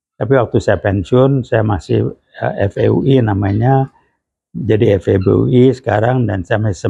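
A man talks at a moderate pace in a fairly low, dark, mellow voice with vocal fry. His pitch varies in an ordinary way against a quiet background. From Indonesia. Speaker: retired lecturer and management practitioner; retired lecturer. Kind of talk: direct-to-camera clarification statement. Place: home room.

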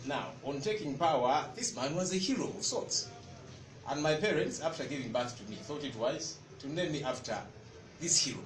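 This man's voice sits fairly high, with lively intonation at a moderate pace. Noticeable background noise runs underneath. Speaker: former news anchor, political spokesperson. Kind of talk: press conference speech. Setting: stage with audience.

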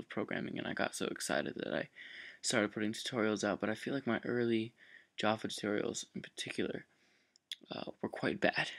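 A soft-spoken man with a fairly low voice, a fairly quick pace and fairly even intonation. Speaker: programming tutorial maker. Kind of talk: tutorial. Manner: soft-spoken, low voice; hesitant, many fillers.

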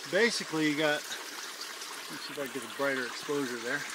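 A man's voice sounds dry with no echo, over noticeable background noise. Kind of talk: tutorial. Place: forest. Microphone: phone near.

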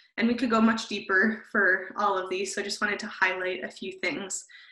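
In a room with audible echo and a quiet background, a woman with a bright, sharp tone speaks at a moderate pace with fairly even intonation. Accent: Canadian. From Canada. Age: 20s. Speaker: social media content creator. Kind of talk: webinar presentation. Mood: friendly, relaxed. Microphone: video call.

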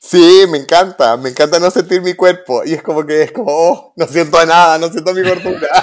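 This man talks at a fairly quick pace with hardly any pauses, his pitch high. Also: ordinary pitch variation. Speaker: interior designer and podcast co-host. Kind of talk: casual chat.

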